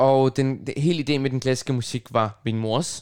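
A man with an ordinary speaking voice talks at a fairly slow pace, with medium pitch and ordinary pitch variation. The recording is very clean, with a silent background. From Copenhagen, Denmark (Nørrebro). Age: 20s. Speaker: radio host and pianist. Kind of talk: casual chat. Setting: student's room at a music dormitory.

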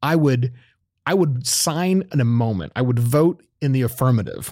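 This is a man with an American accent and a plain, everyday voice, speaking at a moderate pace with ordinary pitch variation. The recording is very clean, with a silent background. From Oklahoma, US. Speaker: podcast co-host. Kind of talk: casual chat.

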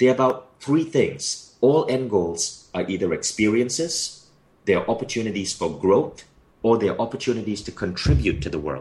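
A man's voice with a Malaysian accent, vocal fry and very wide pitch swings. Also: medium pitch for a man, moderate pace. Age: 40s. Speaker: author and company founder. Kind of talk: interview.

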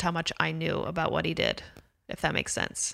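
A woman with an American accent talks at a moderate pace on a very clean recording with a silent background. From US West Coast, Los Angeles (Calabasas). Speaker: author and comedian. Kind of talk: casual chat.

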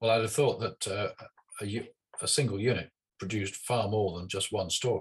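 The talker is a man with a British accent. He keeps to a moderate pace. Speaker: podcast host. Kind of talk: interview.

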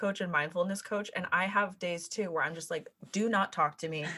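With a Californian accent, a woman speaks at a fairly quick pace in a medium pitch, her tone bright and sharp. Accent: Californian American. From US West, California (South Lake Tahoe). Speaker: life coach. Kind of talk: casual interview. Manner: frequent laughter.

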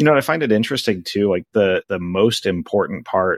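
With a plain, everyday voice, a man speaks at a fairly low pitch and a fairly quick pace, his intonation lively and the sound dry and close with no echo. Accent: American. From Alaska, US (Anchorage). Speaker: coding teacher and podcast host. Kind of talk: casual podcast chat.

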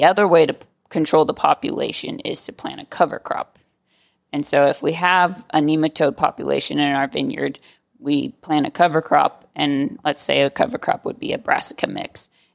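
Recorded dry and close with no echo, a woman with an American accent speaks at a moderate pace. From California. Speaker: vineyard manager. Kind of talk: interview.

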